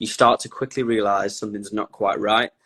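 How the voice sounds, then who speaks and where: In a Lancashire accent, the speaker talks at a fairly quick pace with flat, monotone intonation, and the sound is dry and close with no echo. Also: man. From northern England, Blackpool. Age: 20s. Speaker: content creator on his personality disorder. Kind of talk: interview.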